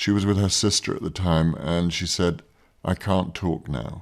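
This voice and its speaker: A man talks with a very deep, low pitch. His pace is moderate and his pitch variation is ordinary. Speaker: actor. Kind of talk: interview answer.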